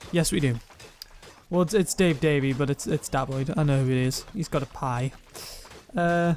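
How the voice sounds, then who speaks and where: Ordinary pitch variation marks a man's speech at a moderate pace. Noticeable background noise sits behind him. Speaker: streamer reading chat.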